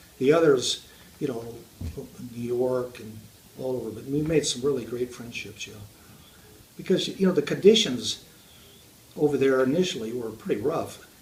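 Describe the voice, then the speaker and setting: With an American accent, a man speaks at a medium pitch and a moderate pace, with ordinary pitch variation and noticeable background noise. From Southern California. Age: 80s+. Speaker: war veteran. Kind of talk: interview. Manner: halting.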